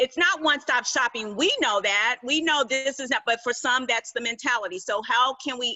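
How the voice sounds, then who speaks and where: A woman speaks in a high voice with an animated tone. Her pitch varies in an ordinary way. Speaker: public relations executive. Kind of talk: panel discussion.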